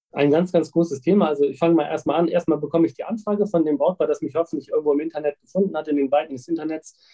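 Fairly high in pitch, this man talks at a very fast pace. He leaves hardly any pauses. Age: 30s. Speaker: wedding officiant. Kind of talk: interview. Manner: animated.

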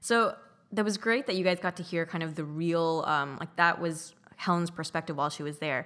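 In a very clean recording with a silent background, a woman talks at a fairly quick pace in an unremarkable speaking voice, her pitch fairly low with ordinary variation. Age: 30s. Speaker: podcast co-host. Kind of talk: casual chat.

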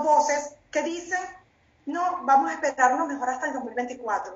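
A woman with a Venezuelan accent, high in pitch, with ordinary pitch variation at a fairly slow pace. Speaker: panelist. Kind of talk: heated political commentary. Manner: indignant, emphatic.

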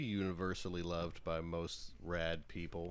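With an American accent, a man speaks in a very deep, low pitch. The recording is very clean, with a silent background. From Butler, Pennsylvania. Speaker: podcast co-host. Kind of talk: casual chat.

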